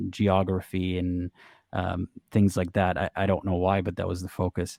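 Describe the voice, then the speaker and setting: A man is speaking. His tone is dark and mellow. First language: Arabic. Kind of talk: interview conversation. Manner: halting, many false starts.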